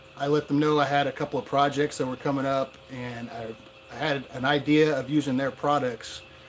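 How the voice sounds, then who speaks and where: A man speaks fairly quickly at a medium pitch, in a monotone, flat delivery. Noticeable background noise runs behind him. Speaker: gold prospecting YouTuber. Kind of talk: live stream unboxing. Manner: loud. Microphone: far from camera mic.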